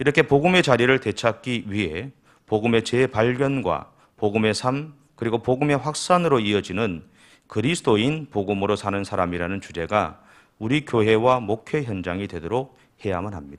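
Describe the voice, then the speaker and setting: A man's unremarkable speaking voice at medium pitch, moderate pace and lively intonation. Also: very clean recording, silent background. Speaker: pastor. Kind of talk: sermon.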